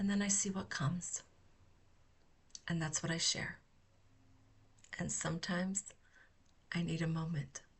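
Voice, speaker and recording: A somewhat breathy woman with monotone, flat intonation, very even loudness, and long, frequent pauses. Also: fairly low pitch for a woman. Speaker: therapeutic healing practitioner. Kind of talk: unscripted reflective talk. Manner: slow with frequent pauses.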